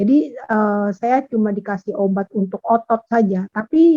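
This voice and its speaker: A woman with a plain, everyday voice, lively intonation and a fairly slow pace, in dry, close sound with no echo. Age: 60s. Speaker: class participant. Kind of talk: question from participant. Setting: video call.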